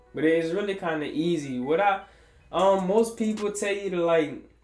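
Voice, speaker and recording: A man talks at a moderate pace with fairly even intonation. Music plays in the background. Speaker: barber. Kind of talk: tutorial. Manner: casual, hesitant with fillers.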